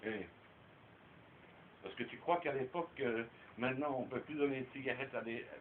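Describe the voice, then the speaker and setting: The speaker keeps a moderate pace but leaves long, frequent pauses. Intonation stays fairly even. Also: man, medium pitch for a man. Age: 60s. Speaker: storyteller uncle. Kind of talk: casual chat.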